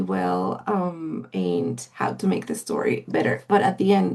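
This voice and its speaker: A woman talks with a Spanish accent. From Mexico. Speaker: literary agent. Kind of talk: interview. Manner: halting, many fillers.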